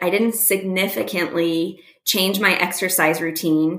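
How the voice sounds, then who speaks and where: At a fairly slow speed, an unremarkable speaking voice talks with ordinary pitch variation. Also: woman. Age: 40s. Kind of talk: casual chat. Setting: remote call.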